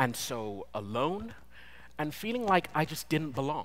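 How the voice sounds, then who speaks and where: A man in a British accent has a bright, sharp tone and speaks at a fairly slow pace. His pitch swings very widely. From Britain. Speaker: designer, conference speaker. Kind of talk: conference talk. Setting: stage with audience.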